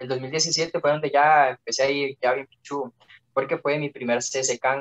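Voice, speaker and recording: Speaking in a Costa Rican accent, a man with a fairly high pitch talks at a fairly slow pace in a monotone, flat way, the sound dry and close with no echo. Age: 18. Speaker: young competitive swimmer. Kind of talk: casual chat.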